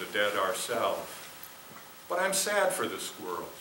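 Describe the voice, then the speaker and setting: A man's voice comes through with audible room echo and light background noise. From Minnesota, US. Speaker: poet. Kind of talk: poetry reading performed. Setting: theater with audience. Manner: measured, expressive. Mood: calm, reflective. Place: stage.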